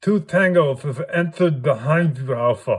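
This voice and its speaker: Pitched fairly high, a man's put-on character voice plays out. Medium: read story. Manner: clipped military jargon.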